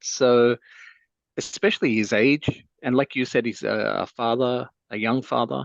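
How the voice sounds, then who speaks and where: A plain, everyday voice from a man at medium pitch, with fairly even intonation and a fairly slow pace, dry and close with no echo. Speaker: parent. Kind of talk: casual podcast discussion.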